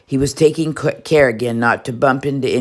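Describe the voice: Text is read aloud here. Nothing about it is dressed up.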